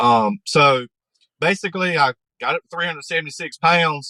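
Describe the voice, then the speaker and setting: A man with a Southern US accent has a bright, sharp tone, recorded with a dry, close sound and no echo. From North Carolina, USA. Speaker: podcast guest. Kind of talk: interview answer.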